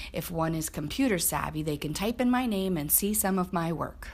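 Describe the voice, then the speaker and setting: At a moderate pace, a woman with a fairly low pitch speaks with vocal fry and ordinary pitch variation. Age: 90s. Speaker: quilter. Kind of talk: scripted narration.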